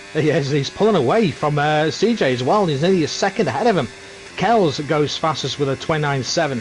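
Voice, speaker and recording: Over music in the background, a man with a fairly high pitch talks at a fairly quick pace, with lively intonation and very even loudness. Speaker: sim racing commentator. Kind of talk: live commentary.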